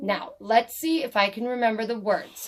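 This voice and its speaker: Putting on a character voice, a woman speaks at a fairly high pitch with ordinary pitch variation. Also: moderate pace. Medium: read story.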